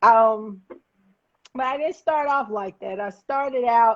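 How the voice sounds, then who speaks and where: Over a quiet background, a woman talks at a fairly slow pace. Her pitch variation is ordinary. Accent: Southern US. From Alabama, Huntsville. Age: 50s. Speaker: former drug dealer turned activist. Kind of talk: interview testimony.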